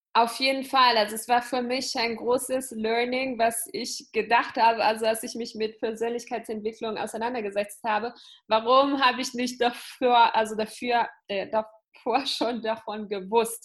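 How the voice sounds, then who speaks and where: With an Italian accent, a woman speaks at a moderate pace in a fairly high pitch. Her intonation is monotone and flat, and the background is quiet. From Italy. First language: Italian (speaking German). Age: 20s. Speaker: entrepreneur and business coach. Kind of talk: interview.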